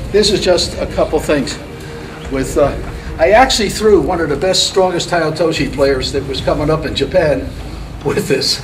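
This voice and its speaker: Music sits in the background, and room echo is audible. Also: man, high pitch for a man, ordinary pitch variation, moderate pace. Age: 80s+. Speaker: judo instructor. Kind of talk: martial arts demonstration class. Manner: casual, conversational.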